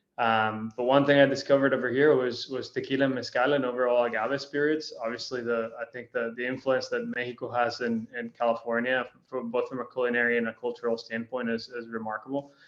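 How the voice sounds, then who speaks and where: A man talks at a very fast pace with hardly any pauses, his medium pitch flat and monotone. Noticeable background noise runs underneath. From Costa Rica. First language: Spanish. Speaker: spirits brand founder. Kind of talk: interview. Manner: casual.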